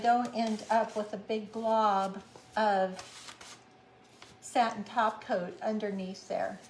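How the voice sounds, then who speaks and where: Very slowly, a woman speaks at a fairly high pitch. Her pitch varies in an ordinary way. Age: 70s. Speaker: craft tutorial host. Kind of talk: casual chat; live craft tutorial.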